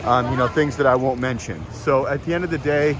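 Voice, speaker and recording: An American accent with ordinary pitch variation, noticeable background noise and audible room echo. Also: man. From United States. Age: 40s. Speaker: expat vlogger. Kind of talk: casual vlog monologue. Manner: conversational, many fillers.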